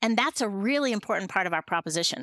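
A woman with a Western US accent has a bright, sharp tone, recorded with a dry, close sound and no echo. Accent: American (Western US). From Montana, US. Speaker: food tech CEO. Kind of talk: interview. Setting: podcast recording.

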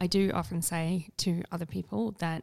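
A woman speaks with a South Australian accent. The sound is dry and close, with no echo. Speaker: podcast host. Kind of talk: casual interview chat.

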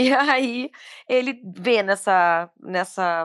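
On a very clean recording with a silent background, a woman speaks with lively intonation. The sound is dry and close, with no echo. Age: 30s. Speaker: musical theatre actress. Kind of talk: casual chat. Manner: animated.

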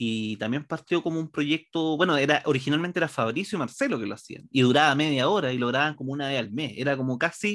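In a very clean recording with a silent background, a man with a Chilean accent talks at a very fast pace. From Chile, Santiago. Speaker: comedy writer and stand-up comedian. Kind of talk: casual interview chat.

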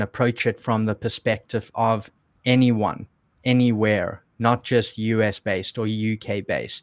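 A man with a South African accent talks at a medium pitch in a monotone, flat intonation. The sound is dry and close with no echo, on a very clean recording with a silent background. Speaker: online seller and video creator. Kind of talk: podcast interview.

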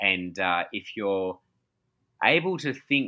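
Very slow speech from a man with an Australian accent and a fairly low pitch. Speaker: pastor and author. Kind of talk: casual interview. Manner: hesitant, many fillers.

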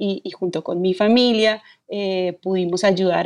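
The recording is dry and close, without any echo. Her pitch is medium for a woman. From Colombia, Bogotá. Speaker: film director and screenwriter. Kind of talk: interview. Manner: hesitant, many fillers.

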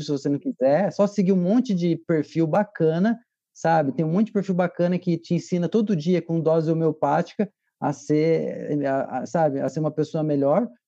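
A dark, mellow tone at a moderate pace, ordinary pitch variation, a dry, close sound with no echo and a quiet background. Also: man, high pitch for a man. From southern Brazil. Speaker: film director and father. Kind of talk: casual chat.

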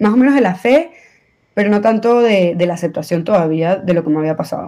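With lively intonation, a woman speaks at a fairly quick pace. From Venezuela. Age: 20s. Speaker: accident survivor. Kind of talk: testimony.

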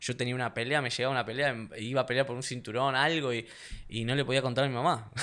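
A man's medium-pitched, bright, sharp voice, delivered at a very fast pace in a flat monotone. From Argentina. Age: 30s. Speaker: mixed martial arts fighter. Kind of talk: casual interview chat.

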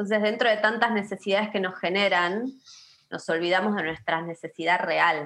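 This woman speaks with an Argentine accent at a medium pitch. Her tone is bright and sharp, and her intonation fairly even. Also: moderate pace. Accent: Argentine Spanish (rioplatense voseo). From Patagonia, Argentina (Río Negro). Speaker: pharmacist and herbal medicine practitioner. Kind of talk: casual interview chat.

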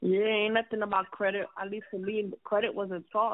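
A woman at medium pitch talks at a moderate pace with little pitch movement.

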